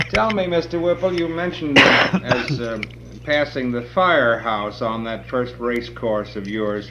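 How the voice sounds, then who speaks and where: Against noticeable background noise, a man speaks at a medium pitch and a fairly slow pace with lively intonation. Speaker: radio personality. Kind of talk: interview questions.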